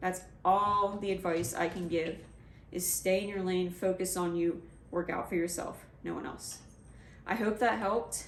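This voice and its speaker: Over noticeable background noise and audible room echo, a woman speaks at a moderate pace in a medium pitch with fairly even intonation. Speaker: vlogger, adaptive athlete. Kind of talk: casual vlog advice talk. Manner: halting, jumbled.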